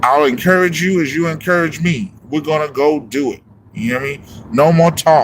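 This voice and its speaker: A man talks at a fairly quick pace with a fairly high pitch. Noticeable background noise is present. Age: 40s. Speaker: music producer and livestream host. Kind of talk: motivational livestream talk. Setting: live stream. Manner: animated.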